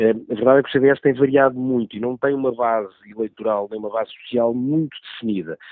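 Speech delivered at a very fast pace with fairly even intonation. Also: man. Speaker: journalist, political commentator. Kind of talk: political analysis on radio.

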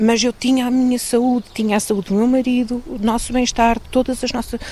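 A woman talks at a moderate pace with a fairly high pitch over noticeable background noise. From Portugal, Pedrógão Grande region. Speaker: local community organiser. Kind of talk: interview testimony.

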